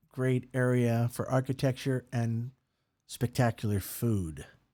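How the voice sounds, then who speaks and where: A man with an American accent and a dark, mellow tone talks at a very slow pace in a very clean recording with a silent background. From USA. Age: 60s. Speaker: podcast host. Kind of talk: casual monologue. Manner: animated.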